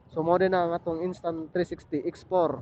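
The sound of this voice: The man's pitch is fairly high. It shows little movement. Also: slightly mellow tone.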